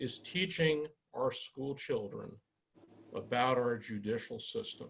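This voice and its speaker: The somewhat breathy voice moves at a fairly slow pace with lively intonation. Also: man. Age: 60s. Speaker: judge, judicial candidate. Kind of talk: candidate forum answer. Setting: virtual forum, video call.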